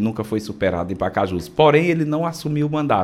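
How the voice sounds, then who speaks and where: A man's voice with very wide pitch swings. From Ceará, Brazil (sertão dos Inhamuns, Parambu; Fortaleza from age 11). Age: 40s. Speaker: state legislator. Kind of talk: radio interview. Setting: radio studio.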